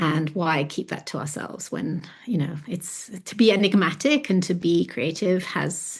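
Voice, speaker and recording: Barely pausing, a woman with a fairly low, somewhat breathy voice speaks with big swings in loudness. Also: ordinary pitch variation, moderate pace. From London, England (born in Florence, moved at seven). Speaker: artist and author. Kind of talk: podcast interview.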